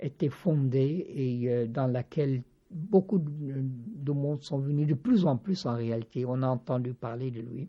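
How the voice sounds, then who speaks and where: A man speaks at a very slow pace. His pitch is fairly high, with ordinary pitch variation. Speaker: spiritual teacher and author. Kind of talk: interview. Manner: halting, many hesitations.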